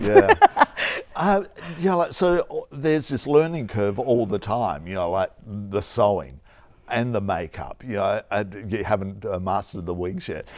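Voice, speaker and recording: Speaking fairly slowly, this voice has an Australian accent. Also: man, fairly low pitch for a man, lively intonation. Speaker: TV arts interviewer. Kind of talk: interview questions.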